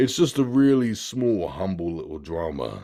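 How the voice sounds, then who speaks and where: With a British accent, the speaker has a dark, mellow tone on a very clean recording with a silent background. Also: man. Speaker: movie reviewer and voice actor. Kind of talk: casual chat. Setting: podcast recording.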